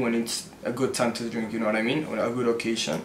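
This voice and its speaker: A man speaks at a fairly quick pace. Light background noise and audible room echo are present. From Mexico City. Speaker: YouTuber. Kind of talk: casual Q&A. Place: home room.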